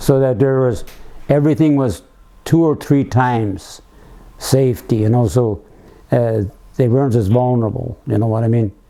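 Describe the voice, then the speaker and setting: The man's voice has a dark, mellow tone, medium pitch and ordinary pitch variation, moving at a moderate pace. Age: 90s. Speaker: war veteran. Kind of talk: casual chat. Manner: halting.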